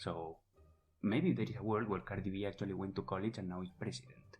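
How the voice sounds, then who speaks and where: Music plays in the background as a man with a non-native accent speaks at a fairly low pitch. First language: not English. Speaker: podcast co-host. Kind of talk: casual explanatory chat.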